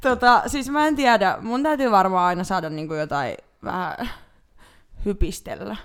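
Pausing often and at length, a woman speaks at a fairly slow pace with very wide pitch swings. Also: medium pitch for a woman. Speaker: podcast co-host. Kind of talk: casual chat. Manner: loud.

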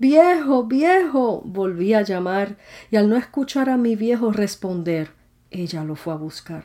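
In a very clean recording with a silent background, the voice has a dark, mellow tone, very wide pitch swings, big swings in loudness and a fairly slow pace. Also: woman, fairly high pitch for a woman. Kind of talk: poetry reading; devotional reflection.

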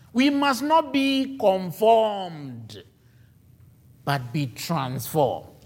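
A man speaks at a high pitch with very wide pitch swings, in a very slow pace. Long, frequent pauses break his speech, and audible room echo surrounds it. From Ghana. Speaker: preacher. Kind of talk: sermon.

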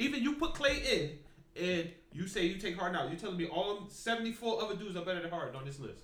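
A man talks at a very fast pace with a high pitch and lively intonation over noticeable background noise. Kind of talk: heated debate. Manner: incredulous, loud and rapid-fire, pressing rhetorical questions.

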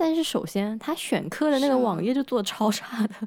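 On a very clean recording with a silent background, a normal speaking voice moves at a fairly slow pace with ordinary pitch variation. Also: woman. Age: 20s. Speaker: podcast co-host, recent master's graduate. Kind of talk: casual chat.

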